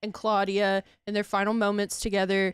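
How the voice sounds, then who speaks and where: A fairly slow voice with an American accent on a very clean recording with a silent background. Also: woman. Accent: southern US, thick when angry. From US South. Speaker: streamer. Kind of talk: casual chat. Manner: animated.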